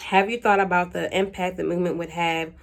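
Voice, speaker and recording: A woman's unremarkable speaking voice, fairly low in pitch, with an American accent and fairly even intonation. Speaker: YouTuber answering Q&A. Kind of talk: casual vlog monologue.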